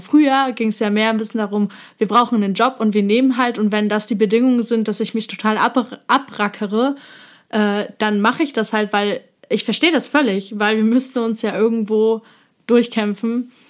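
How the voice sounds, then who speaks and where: An ordinary speaking voice moves at a moderate pace with fairly even intonation on a very clean recording with a silent background. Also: woman. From eastern Germany. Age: 20s. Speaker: psychology student and influencer. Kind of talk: casual chat.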